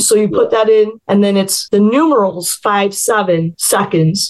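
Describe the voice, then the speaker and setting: A woman with an American accent speaks at a moderate pace in a plain, everyday voice, her pitch fairly high. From US Midwest, Chicago suburbs. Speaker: novelist. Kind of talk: interview.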